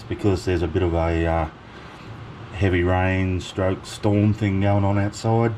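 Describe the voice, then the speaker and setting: The speaker is a man. He talks at a moderate pace. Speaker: home cooking channel host. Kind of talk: cooking tutorial. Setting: home kitchen. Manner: loud.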